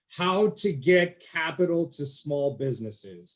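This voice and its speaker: Using a plain, everyday voice, a man talks at a fairly slow pace with ordinary pitch variation. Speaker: panel moderator. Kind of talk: panel discussion.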